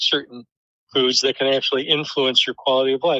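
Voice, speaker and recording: Dry and close with no echo, a man with an American accent speaks in a bright, sharp tone at a fairly high pitch. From US Midwest, Detroit. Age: 60s. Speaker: professor. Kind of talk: interview. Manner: hesitant, many fillers.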